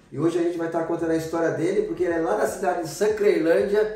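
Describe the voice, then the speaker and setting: A man's high-pitched voice with ordinary pitch variation, amid noticeable background noise and audible room echo. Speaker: YouTuber interviewer. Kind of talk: interview. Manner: animated.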